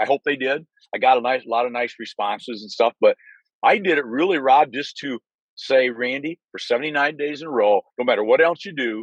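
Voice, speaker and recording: A man's voice, an unremarkable speaking voice, at medium pitch with ordinary pitch variation, a fairly quick pace, big swings in loudness and a dry, close sound with no echo. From Michigan, US Midwest. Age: 60s. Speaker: sales rep. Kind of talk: casual chat. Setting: video call from his car.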